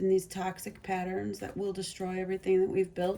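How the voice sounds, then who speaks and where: A soft-spoken woman at a medium pitch, her tone dark and mellow. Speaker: tarot reader. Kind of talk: tarot reading. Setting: parked near train tracks.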